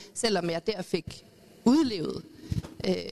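A woman's voice comes across dry and close, with no echo. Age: 40s. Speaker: youth educator, panelist. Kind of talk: panel debate. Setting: live event with audience.

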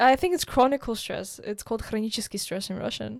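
A woman talks at a fairly quick pace in a plain, everyday voice with a fairly high pitch. The recording is very clean, with a silent background. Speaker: podcast host. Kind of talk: casual interview chat.

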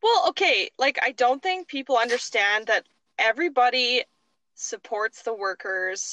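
A woman with a high pitch and a bright, sharp tone speaks at a fairly slow pace with very wide pitch swings, the sound dry and close with no echo. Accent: Canadian. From Tofield, Alberta, Canada. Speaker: podcast co-host. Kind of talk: casual chat.

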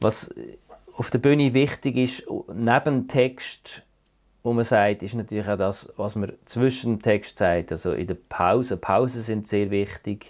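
Speaking at a very slow pace with a Swiss accent, a man keeps a medium pitch and ordinary pitch variation. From Switzerland, Fribourg. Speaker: satirist and cabaret artist. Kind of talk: interview. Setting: remote call. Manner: halting.

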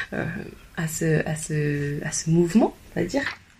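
A woman talks with ordinary pitch variation while noticeable noise runs in the background. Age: 30s. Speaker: personal development coach. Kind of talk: interview. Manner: hesitant, many repetitions.

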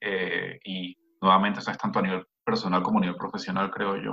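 Dry and close with no echo, the sound captures a man talking. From Venezuela. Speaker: researcher. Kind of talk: casual chat.

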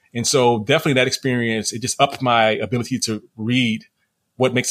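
Very fast speech from a man, medium in pitch, its intonation fairly even. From New Orleans, Louisiana. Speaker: author and creative writing professor. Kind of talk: interview.

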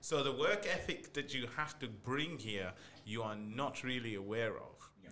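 A man speaks at a medium pitch and a moderate pace. His pitch varies in an ordinary way, with noticeable background noise behind him. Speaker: podcast host. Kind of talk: casual chat.

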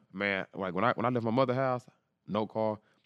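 A man with an American accent talks at a fairly quick pace in a plain, everyday voice. His pitch is fairly low, and the sound is dry and close with no echo. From Texas, East Dallas. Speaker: football player and trainer. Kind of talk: casual interview storytelling.

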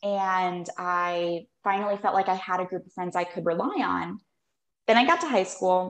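In a General American accent, a woman with a plain, everyday voice speaks at a moderate pace and medium pitch, her intonation fairly even. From Phoenix, Arizona. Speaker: holistic nutritionist and health coach. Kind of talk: casual interview chat.

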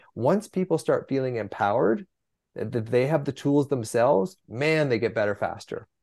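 Lively in intonation, a normal speaking voice moves along at a moderate pace. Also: man, medium pitch for a man. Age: 60s. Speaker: physician and anxiety author. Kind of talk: interview conversation.

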